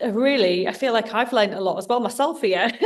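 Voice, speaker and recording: Someone speaks at a moderate pace. She is a woman with a normal speaking voice. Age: 40s. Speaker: podcast host and life coach. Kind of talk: interview conversation.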